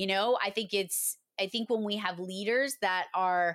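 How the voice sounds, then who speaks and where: Woman with a Boston accent at medium pitch and moderate pace, on a very clean recording with a silent background. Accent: Boston-area New England. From Massachusetts. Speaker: 911 dispatcher turned trainer and consultant. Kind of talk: casual interview.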